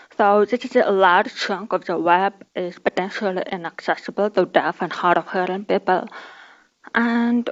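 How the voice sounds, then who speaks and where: Her voice sits at medium pitch for a woman, with ordinary pitch variation. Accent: Kazakh. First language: Kazakh. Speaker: conference speaker. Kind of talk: conference talk. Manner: halting.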